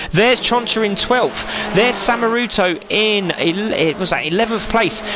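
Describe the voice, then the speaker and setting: A raised, projected voice with a British accent moves at a moderate pace with ordinary pitch variation. Noticeable background noise runs behind it. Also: man. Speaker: sim racing commentator. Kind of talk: live commentary. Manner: animated.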